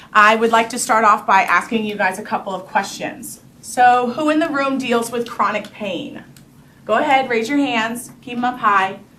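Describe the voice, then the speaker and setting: With an American accent and ordinary pitch variation, a woman speaks amid audible room echo. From New York. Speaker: entrepreneur pitching business. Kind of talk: sales pitch. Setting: room with live audience, no microphone. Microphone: speaking without microphone.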